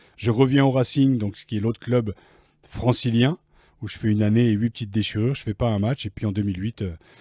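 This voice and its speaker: A man with a dark, mellow tone at a very fast pace, fairly even intonation, dry, close sound with no echo, and a very clean recording with a silent background. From Picardy, northern France. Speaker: former rugby player and author. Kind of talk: interview. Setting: recording room in Paris offices.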